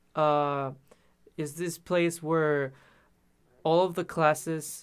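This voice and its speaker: Silent background, very clean recording. A man speaks with a fairly high pitch and monotone, flat intonation. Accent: Spanish. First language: Spanish. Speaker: musician. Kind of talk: interview. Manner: halting.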